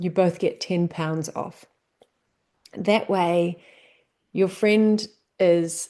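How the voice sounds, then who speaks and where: With a New Zealand accent, the speaker has a dark, mellow tone and fairly even intonation. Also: woman. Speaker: business coach. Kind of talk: tutorial. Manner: casual, conversational.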